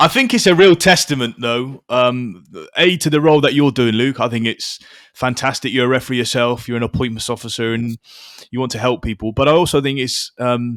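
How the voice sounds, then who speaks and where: Speaking at a fairly quick pace with a Wiltshire accent, a man uses medium pitch with ordinary pitch variation. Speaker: podcast host and referee. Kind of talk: podcast interview.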